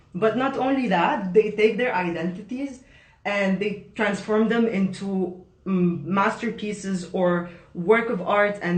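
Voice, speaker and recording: Noticeable background noise accompanies delivery at a fairly slow pace. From Lebanon. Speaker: event host, interaction designer. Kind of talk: online panel introduction.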